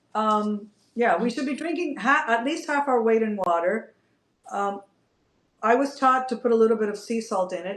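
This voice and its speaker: A woman talks at a moderate pace with lively intonation. Her pitch is fairly high. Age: 60s. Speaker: functional nutrition practitioner and yoga teacher. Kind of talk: interview. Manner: animated.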